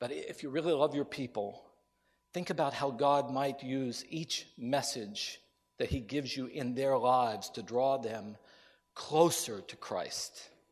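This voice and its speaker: Against a quiet background, an unremarkable speaking voice with an American accent moves at a fairly slow pace with ordinary pitch variation. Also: man, medium pitch for a man. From US Appalachia (West Virginia). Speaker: preacher. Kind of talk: sermon. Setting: chapel with audience.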